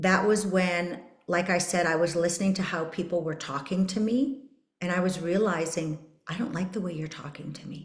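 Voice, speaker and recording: Speaking with a Canadian accent at a moderate pace, a woman uses a fairly low pitch, and audible room echo is present. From Canada, Saskatchewan. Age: 50s. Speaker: podcast host. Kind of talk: personal testimony.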